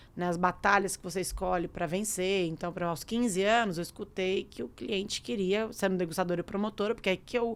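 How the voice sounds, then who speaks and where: The voice moves at a fairly quick pace with fairly even intonation, on a very clean recording with a silent background. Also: woman. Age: 30s. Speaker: entrepreneur. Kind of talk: interview. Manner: halting.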